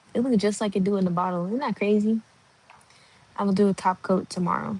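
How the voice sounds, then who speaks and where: Quiet and somewhat breathy, a woman talks at a very fast pace with a medium pitch and fairly even intonation. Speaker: livestreamer. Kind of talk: casual chat. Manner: quiet, hushed.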